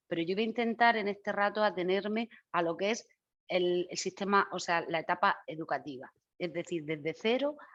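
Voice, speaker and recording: A woman's medium-pitched voice at a moderate pace against a quiet background. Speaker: educational specialist. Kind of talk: lecture. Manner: animated.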